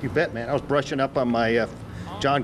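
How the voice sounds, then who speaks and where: A man with an American accent talks at a very fast pace. Background noise is noticeable. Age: 60s. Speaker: radio host. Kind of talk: casual interview.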